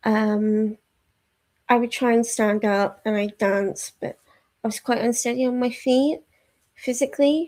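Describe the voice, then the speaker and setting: The woman's voice is fairly high, with fairly even intonation. She goes at a fairly slow pace, with long, frequent pauses. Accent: Yorkshire. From Yorkshire, northern England. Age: 30s. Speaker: book streamer. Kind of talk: casual chat. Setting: live stream at home. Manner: hesitant, lots of fillers.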